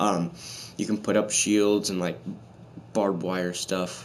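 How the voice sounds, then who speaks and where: Very slowly and with monotone, flat intonation, a man speaks in a very deep, low pitch amid audible room echo. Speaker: gaming YouTuber. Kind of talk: casual gameplay commentary. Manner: halting, many fillers.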